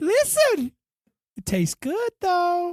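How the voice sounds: A squeaky, put-on character voice at an extremely high pitch and a fairly slow pace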